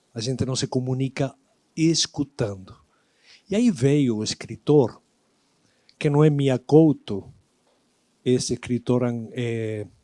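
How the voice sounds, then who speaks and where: In an Argentine accent, a man speaks at a fairly slow pace and medium pitch with a dark, mellow tone, ordinary pitch variation and long, frequent pauses, the sound dry and close with no echo. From Argentina, Buenos Aires. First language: Spanish (speaking Portuguese). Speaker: lecturer. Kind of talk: lecture.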